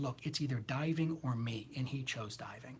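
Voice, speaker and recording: Somewhat breathy and animated in tone, a man speaks with ordinary pitch variation. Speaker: tarot reader. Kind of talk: livestream chat. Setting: live video stream.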